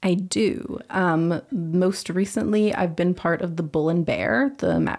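On a very clean recording with a silent background, a woman with a western Canadian accent speaks at medium pitch and a fairly slow pace. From Vancouver, British Columbia, Canada. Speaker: university student. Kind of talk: interview. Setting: studio.

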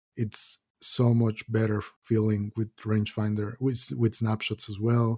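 A man with a medium pitch and a dark, mellow tone sounds somewhat breathy and speaks in a flat monotone. The recording is very clean, with a silent background. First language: not English. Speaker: podcast co-host. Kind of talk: casual gaming chat.

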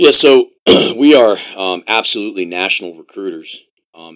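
A man with an American accent, captured in a very clean recording with a silent background. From US, Columbia, Maryland. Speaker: college soccer coach. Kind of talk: casual interview.

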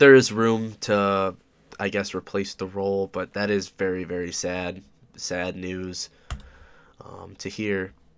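Speaking at a fairly slow pace, a man with an upstate New York accent has a very deep, low pitch. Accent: upstate New York American. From Oswego, New York, US. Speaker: podcast host. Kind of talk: casual solo monologue. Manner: hesitant, many fillers.

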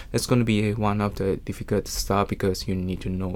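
This man has a non-native accent and a fairly low voice with fairly even intonation. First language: not English. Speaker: body piercer. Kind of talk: interview. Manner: halting.

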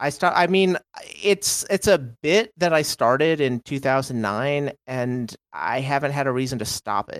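With an American accent, a man uses an unremarkable speaking voice pitched fairly high, with lively intonation and a dry, close sound lacking echo. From Texas. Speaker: podcast guest. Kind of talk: casual chat.

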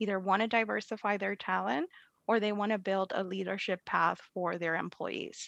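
With a Spanish accent, a woman speaks at a medium pitch and moderate pace, with ordinary pitch variation. The sound is dry and close with no echo, and the background is quiet. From Puerto Rico. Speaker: leadership coach and business owner. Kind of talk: interview. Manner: laughs often.

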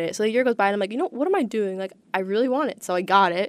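The voice belongs to a woman at a medium pitch. She speaks at a very fast pace. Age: young. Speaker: student DJ and songwriter. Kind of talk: casual interview.

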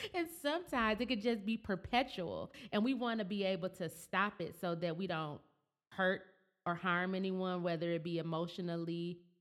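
A woman speaks in a plain, everyday voice at a medium pitch. Her pace is moderate and her pitch varies in an ordinary way. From Flint, Michigan. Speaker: podcast host. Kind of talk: casual interview chat; reading statistics aloud.

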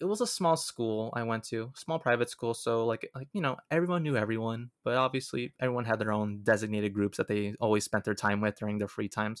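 With an American accent, a man uses an ordinary speaking voice at a medium pitch with ordinary pitch variation and hardly any pauses, in a dry, close sound with no echo on a very clean recording with a silent background. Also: fairly quick pace. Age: 20s. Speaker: filmmaker and podcaster. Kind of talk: interview conversation.

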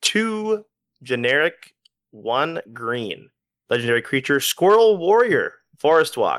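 A man's unremarkable speaking voice, lively in intonation, at a fairly slow pace, with a dry, close sound and no echo. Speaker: guest podcaster. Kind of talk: casual banter podcast.

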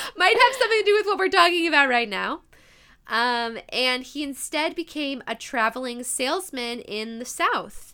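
At a moderate pace, the voice is raised and projected, animated, bright and sharp in tone, with very wide pitch swings. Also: woman, high pitch for a woman. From US Midwest. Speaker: podcast host. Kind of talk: casual chat, interview. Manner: animated, excitable.

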